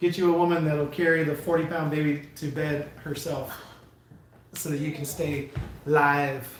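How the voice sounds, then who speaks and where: A man's fairly high voice in monotone, flat intonation at a moderate pace, with audible room echo and noticeable background noise. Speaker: livestreamer, truck driver. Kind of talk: casual livestream chat. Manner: loud.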